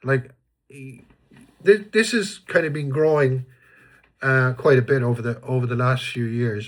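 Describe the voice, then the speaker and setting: Somewhat breathy, a man speaks with an Irish accent at a medium pitch with ordinary variation. The recording is very clean, with a silent background. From Ireland. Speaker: vlogger. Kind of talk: casual monologue. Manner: hesitant, many fillers and restarts.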